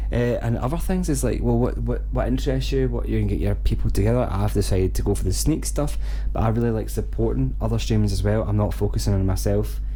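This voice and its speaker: A man with a Scottish accent speaks very fast, with hardly any pauses, in a very deep, low pitch and fairly even intonation. Noticeable background noise and audible room echo surround him. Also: very even loudness. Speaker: gaming streamer. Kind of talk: casual vlog talk. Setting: home streaming room.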